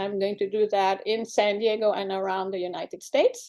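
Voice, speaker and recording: Against a quiet background, a woman with a French accent speaks in a dark, mellow tone. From Morocco. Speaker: cookbook author. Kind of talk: book pitch presentation.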